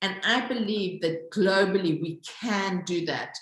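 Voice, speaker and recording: A woman with a Zulu accent speaks at a very slow pace, her pitch varying in an ordinary way. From South Africa. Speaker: social entrepreneur, company founder. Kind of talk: interview.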